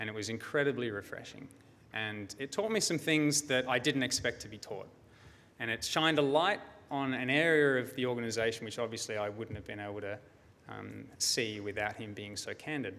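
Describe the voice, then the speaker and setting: Bright, sharp tone from a man with an Australian accent, fairly quick pace, big swings in loudness and ordinary pitch variation. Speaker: security researcher; conference presenter. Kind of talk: conference talk. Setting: stage with audience. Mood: storytelling, mildly wry. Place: hall. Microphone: podium.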